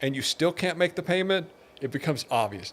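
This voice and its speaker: This man has an ordinary speaking voice, fairly high in pitch for a man, with ordinary pitch variation and a moderate pace. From Texas, Pasadena. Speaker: businessman. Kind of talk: interview.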